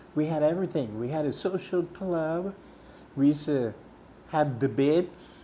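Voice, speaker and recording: With a Trinidadian accent, a man speaks at a moderate pace in a dark, mellow tone, taking long, frequent pauses. His fairly high pitch shows ordinary variation. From Trinidad, Cunupia. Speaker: musician. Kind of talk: interview storytelling. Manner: animated.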